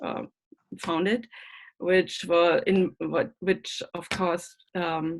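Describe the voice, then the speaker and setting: A woman with a German accent speaks at a very slow pace and a fairly low pitch. Her pitch varies in an ordinary way, and she leaves long, frequent pauses. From Germany. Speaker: school board member. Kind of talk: candidate forum speech. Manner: halting.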